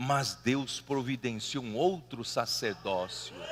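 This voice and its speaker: Speaking at a fairly slow pace, a man has a bright, sharp tone. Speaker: preacher. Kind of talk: sermon. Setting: church meeting hall. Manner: animated.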